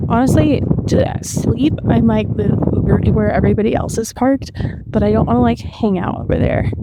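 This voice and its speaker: Delivered at a fairly quick pace with very even loudness, the speech has audible room echo and noticeable background noise. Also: woman. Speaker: vlogger. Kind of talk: casual vlog talk to camera. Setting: outdoors.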